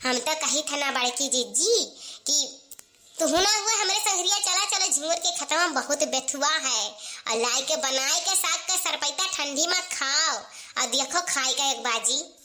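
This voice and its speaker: A squeaky, cartoonish character voice from a woman, high in pitch, with lively intonation at a moderate pace. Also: very even loudness. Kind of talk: rustic village comedy. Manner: chatty, repetitive, homely.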